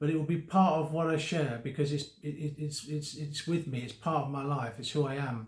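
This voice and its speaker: With audible room echo, a somewhat breathy man speaks at a fairly quick pace and a fairly high pitch, his intonation fairly even and with hardly any pauses. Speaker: vlogger living with Parkinson's. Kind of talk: personal vlog talk to camera. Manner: slurred speech; halting, many fillers and repetitions.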